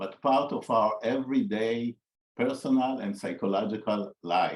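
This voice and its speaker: A man speaks with an Israeli accent. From Israel (raised on a kibbutz). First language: Hebrew. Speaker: psychologist. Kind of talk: interview conversation. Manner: halting, with frequent fillers and repetitions.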